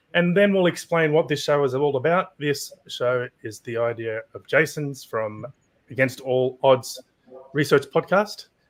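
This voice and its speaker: A man with an Australian accent, fairly high in pitch, with ordinary pitch variation and a fairly slow pace. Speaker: trading podcast host. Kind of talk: panel show introduction.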